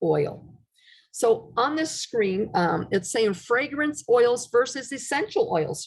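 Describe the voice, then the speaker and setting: A somewhat breathy woman speaks at a very slow pace with lively intonation. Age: 60s. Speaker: essential oils class presenter. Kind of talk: online presentation with slides. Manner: casual, conversational with fillers.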